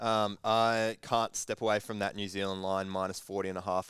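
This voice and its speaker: Speaking at a very fast pace, a man with an Australian accent and a very deep, low pitch delivers flat, monotone intonation on a very clean recording with a silent background. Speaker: sports betting podcast co-host. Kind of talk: casual banter.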